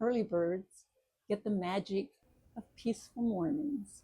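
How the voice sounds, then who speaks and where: A woman's somewhat breathy voice, dark and mellow in tone, at a fairly slow pace. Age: 70s. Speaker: retiree and author. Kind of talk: casual talk to camera.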